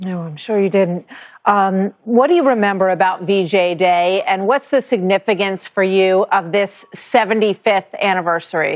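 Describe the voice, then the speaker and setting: A woman with an ordinary speaking voice talks at a moderate pace and medium pitch, with ordinary pitch variation and a dry, close sound with no echo. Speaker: TV news interviewer. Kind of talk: TV news interview questions and introduction.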